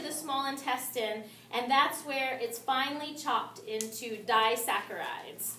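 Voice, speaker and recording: Her high pitch carrying audible room echo and noticeable background noise, a woman speaks at a fairly slow pace. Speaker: nutrition class teacher. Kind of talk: lecture.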